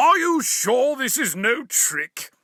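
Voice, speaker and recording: In a put-on character voice, this man speaks at an extremely high pitch. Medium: read story. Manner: haughty.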